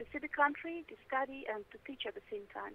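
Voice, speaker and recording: The words rush out at a very fast pace with ordinary pitch variation. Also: woman. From Russia. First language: Russian. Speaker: English teacher. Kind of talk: interview. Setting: phone call. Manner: halting.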